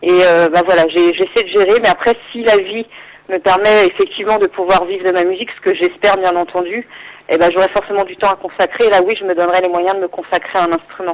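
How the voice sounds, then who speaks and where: A woman speaks at a medium pitch and a fairly quick pace, her intonation monotone and flat. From Île-de-France, France. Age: 20s. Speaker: singer-songwriter. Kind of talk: radio interview. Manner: hesitant, many fillers.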